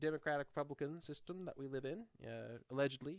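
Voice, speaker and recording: This man has a plain, everyday voice, fairly high in pitch, with ordinary pitch variation and a fairly quick pace. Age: 20s. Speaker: podcast co-host. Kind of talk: casual discussion while reading a document aloud.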